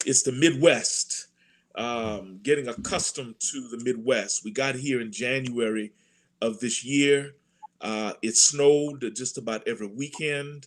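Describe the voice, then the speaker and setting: A man's normal speaking voice with an American accent, medium in pitch, fairly slow, with big swings in loudness, on a very clean recording with a silent background. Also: ordinary pitch variation. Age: 60s. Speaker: church administrator and pastor. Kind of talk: panel discussion.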